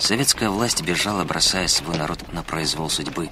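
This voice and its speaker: A man's very deep, low voice with lively intonation, over noticeable background noise. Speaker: documentary narrator. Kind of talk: history documentary narration, scripted and read aloud. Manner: measured, grave, steady authoritative delivery; formal, dramatic, with sombre emphasis on tragic facts.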